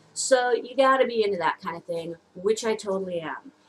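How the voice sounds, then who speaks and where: A woman with a medium pitch speaks at a fairly slow pace. Her intonation is lively, and there is noticeable background noise. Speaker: beauty vlogger. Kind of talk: casual product review. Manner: loud, talking over noise; hesitant, many fillers.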